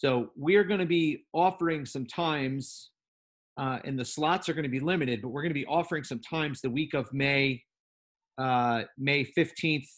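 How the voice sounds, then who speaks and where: A man talks at a moderate pace, his pitch fairly high. It is an ordinary speaking voice with ordinary pitch variation. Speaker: teacher trainer. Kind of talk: online training session. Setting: video call.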